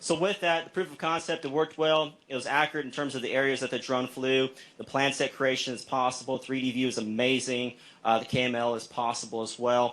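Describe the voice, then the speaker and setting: A man at a medium pitch with fairly even intonation and a fairly quick pace, in a very clean recording with a silent background. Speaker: state aviation agency presenter. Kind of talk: presentation at meeting. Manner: fast.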